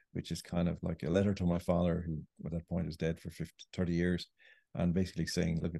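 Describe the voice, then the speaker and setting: A man speaks with a very deep, low pitch and a dark, mellow tone. His delivery is very fast and his intonation monotone and flat. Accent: Irish. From Ireland. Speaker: writer. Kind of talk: interview.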